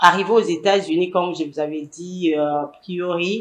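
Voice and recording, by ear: A woman speaks at a moderate pace with fairly even intonation. Her pitch sits fairly low.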